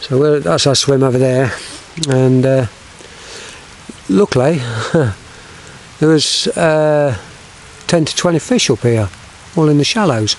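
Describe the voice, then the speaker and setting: A man at a fairly slow pace with long, frequent pauses, dry with no echo, over light background noise. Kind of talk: casual vlog commentary. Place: waterside. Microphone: phone near.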